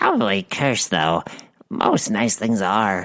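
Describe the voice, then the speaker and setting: A put-on character voice speaks fairly slowly at a low pitch. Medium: audio drama. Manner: simple, folksy, clipped words.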